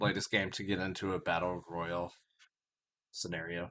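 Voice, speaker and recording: A man's very deep, low pitch with a bright, sharp tone and fairly even intonation. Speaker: podcast co-host. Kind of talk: casual chat.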